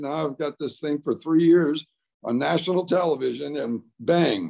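The background is quiet. The voice has a dark, mellow tone. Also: man. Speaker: retired baseball player, Hall of Famer. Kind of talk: casual interview answer, storytelling. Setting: remote video call from home. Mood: amused, relaxed storytelling. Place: home room. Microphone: video call.

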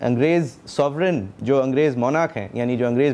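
Speaking at a moderate pace, the man keeps his intonation fairly even. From Pakistan. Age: young. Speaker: TV talk show host. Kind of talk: television interview. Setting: TV studio. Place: studio. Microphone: lapel.

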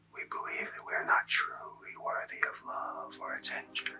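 A man whispers with music playing in the background. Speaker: ASMR Reiki practitioner and academic. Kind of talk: ASMR Reiki healing session. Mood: calm, soothing. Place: home room.

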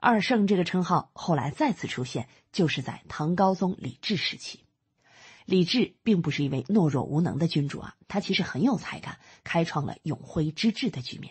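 Her voice is somewhat breathy and warm in tone, pitched fairly low for a woman, at a moderate pace. Her pitch swings very widely and her loudness shifts greatly. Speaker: audiobook narrator. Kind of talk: audiobook-style narration summarizing a history book, explanatory and storytelling. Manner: steady, measured, explanatory storyteller pace; conversational asides with fillers like 呢 and 啊, warm and instructive.

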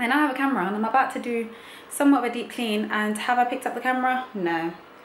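Audible room echo and light background noise accompany speech with ordinary pitch variation. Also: woman. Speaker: vlogger. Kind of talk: casual vlog chat. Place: home room. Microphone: camera far.

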